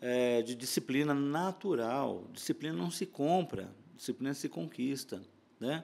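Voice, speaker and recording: This man speaks at a fairly slow pace with lively intonation. His pitch sits fairly high for a man. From Brazil, interior of São Paulo state. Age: 60s. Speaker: conductor and music arranger. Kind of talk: podcast interview. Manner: repetitive filler words, hesitant.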